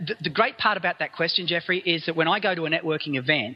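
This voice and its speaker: A man with an Australian accent talks very fast in a fairly high-pitched voice. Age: 50s. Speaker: business speaker and consultant. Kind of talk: interview. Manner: halting, many repetitions.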